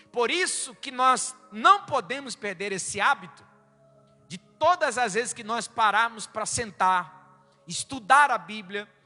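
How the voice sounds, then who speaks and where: A man with an extremely high pitch speaks very slowly in a raised, projected voice, his intonation lively and his loudness swinging widely, amid noticeable background noise. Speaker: pastor. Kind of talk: sermon. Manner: animated.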